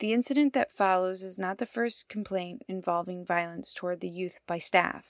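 At a moderate pace, her voice shows ordinary pitch variation. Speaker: radio contributor. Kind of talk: scripted narration. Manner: impassioned.

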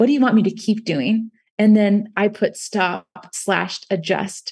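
A woman speaks at a medium pitch with ordinary pitch variation and a somewhat breathy quality against a quiet background. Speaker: university instructor and author. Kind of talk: casual interview conversation.

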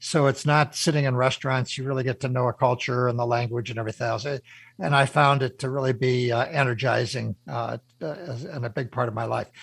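A somewhat breathy man at a medium pitch, with ordinary pitch variation and a fairly quick pace, on a very clean recording with a silent background. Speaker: radio show host and business mentor. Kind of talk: radio interview.

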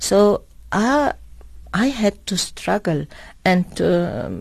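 A woman speaking at a very slow pace. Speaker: diplomat. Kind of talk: radio interview. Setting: studio. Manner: halting.

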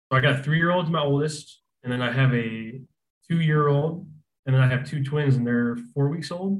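Speaking with an American accent, a man has a somewhat breathy voice and ordinary pitch variation. He keeps a moderate pace, and the room echo is audible. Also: fairly high pitch for a man. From Arizona. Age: 20s. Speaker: falconry business owner. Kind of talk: casual interview.

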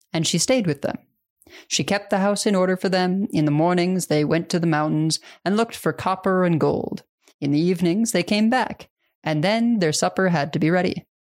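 Here is a woman with an unremarkable speaking voice, medium in pitch with ordinary pitch variation. She talks at a fairly quick pace with very even loudness. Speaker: podcast host. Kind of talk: fairy-tale reading aloud, storytelling narration; casual conversational podcast discussion.

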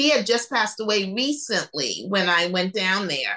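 A woman with an American accent, fairly high pitch, lively intonation, and an unremarkable speaking voice. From New York City. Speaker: author. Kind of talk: casual interview chat.

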